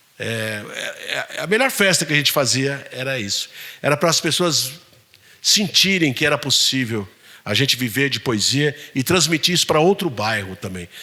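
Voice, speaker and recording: Lively intonation marks a man's fairly high-pitched speech at a moderate pace. It is an unremarkable speaking voice. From São Paulo city, south zone periphery. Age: 60s. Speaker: poet. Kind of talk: Q&A talk with audience.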